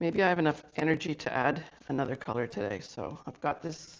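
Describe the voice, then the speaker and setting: Using vocal fry, a woman with a very deep, low pitch speaks with lively intonation. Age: 60s. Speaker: abstract artist. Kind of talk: casual talk to camera.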